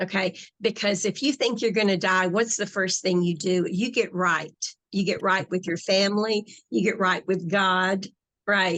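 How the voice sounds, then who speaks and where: A woman with an American accent speaks in a normal speaking voice at medium pitch and a moderate pace, her intonation fairly even and her loudness very even over a quiet background. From US South. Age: 60s. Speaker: hypnotherapist and spiritual author. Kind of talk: interview conversation.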